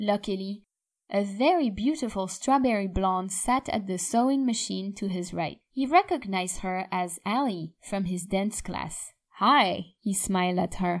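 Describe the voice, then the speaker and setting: On a very clean recording with a silent background, a woman with a French accent speaks at a fairly slow pace and medium pitch. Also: ordinary pitch variation. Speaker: audiobook narrator. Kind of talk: audiobook narration.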